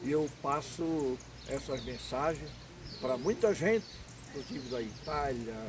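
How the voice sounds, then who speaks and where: Somewhat breathy and fairly high-pitched, a man talks at a fairly slow pace with ordinary pitch variation and long, frequent pauses. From Santa Catarina, southern Brazil. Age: 70s. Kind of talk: interview.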